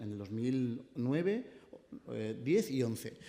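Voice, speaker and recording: A man speaks in a dark, mellow tone with very wide pitch swings. Audible room echo surrounds him. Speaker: city councillor. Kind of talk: press conference. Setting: press conference. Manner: fast.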